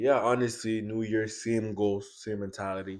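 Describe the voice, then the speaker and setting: A man's fairly low voice with a Congolese accent and a dark, mellow tone, on a very clean recording with a silent background. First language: Lingala. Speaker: student podcast co-host. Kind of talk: casual chat.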